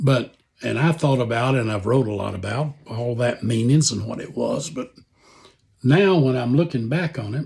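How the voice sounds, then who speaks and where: A man's somewhat breathy voice carries ordinary pitch variation. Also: medium pitch for a man, moderate pace. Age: 70s. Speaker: author and Vietnam veteran. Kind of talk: personal reflection.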